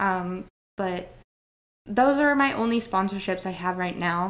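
A woman with an American accent and an ordinary speaking voice talks at medium pitch and a moderate pace. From Northern Idaho. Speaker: bodybuilder and entrepreneur. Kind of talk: casual interview chat.

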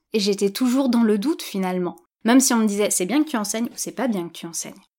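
A woman speaks with a fairly high pitch and a dark, mellow tone. The recording is very clean, with a silent background. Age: 30s. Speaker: yoga teacher and podcast host. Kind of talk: solo podcast monologue. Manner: hesitant, with fillers and repetitions.

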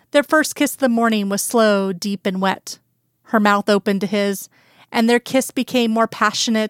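Fairly even intonation from a natural reading voice, quiet background behind it

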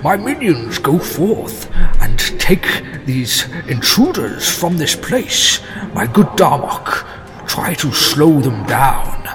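Over clear background noise, a man performs a put-on character voice at a very slow pace. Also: fairly high pitch for a man. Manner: commanding, villainous.

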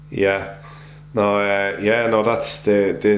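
Speaking with an Irish accent at a fairly low pitch, a man is heard with audible room echo and noticeable background noise. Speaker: sports podcast host. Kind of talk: casual interview.

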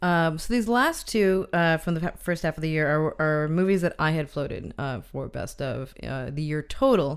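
A woman's very deep, low voice at a moderate pace, lively in intonation, on a very clean recording with a silent background. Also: hardly any pauses. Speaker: film podcast co-host. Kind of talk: casual chat.

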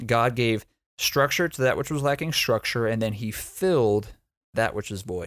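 A man speaks at a medium pitch and moderate pace with ordinary pitch variation and an unremarkable speaking voice. The recording is very clean, with a silent background. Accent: American. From Texas. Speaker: church planter and preacher. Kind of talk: Bible teaching in a casual podcast chat. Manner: repeats words and restarts sentences.

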